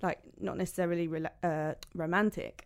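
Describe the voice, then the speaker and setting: In a London accent, a woman speaks fairly quickly with a fairly low pitch and monotone, flat intonation, on a very clean recording with a silent background. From London, England. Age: 30s. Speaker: makeup artist. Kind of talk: casual chat.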